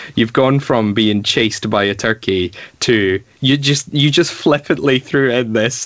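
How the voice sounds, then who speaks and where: At a fairly slow pace, a man talks at a medium pitch with ordinary variation and very even loudness. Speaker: comedy podcast co-host. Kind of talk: casual comedic chat. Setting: remote call during lockdown.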